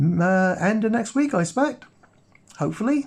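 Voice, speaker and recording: Against a quiet background, a man with a somewhat breathy voice talks at a moderate pace with lively intonation. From Cornwall, England. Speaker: watch and vlog youtuber. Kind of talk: casual vlog talk to camera.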